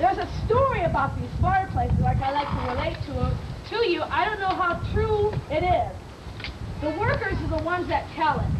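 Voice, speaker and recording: Speech comes at a moderate pace with lively intonation. Noticeable background noise and audible room echo fill the recording. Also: woman, extremely high pitch for a woman. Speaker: park tour guide. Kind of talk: guided tour talk. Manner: loud; long-winded.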